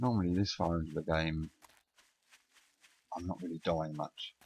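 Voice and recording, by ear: In a low voice with a slightly husky edge and a slightly mellow tone, a man mumbles at a moderate pace with fairly even intonation.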